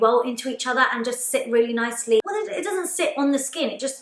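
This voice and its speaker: In an upbeat tone, a woman talks fairly quickly in a high pitch with ordinary pitch variation. Background noise is noticeable. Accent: London. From London, UK. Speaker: makeup artist. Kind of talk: casual talk to camera. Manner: chatty, upbeat.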